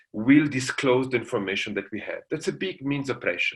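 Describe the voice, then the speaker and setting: With an Italian accent, a man speaks at a medium pitch using lively intonation. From Italy. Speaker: international law professor. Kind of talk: lecture.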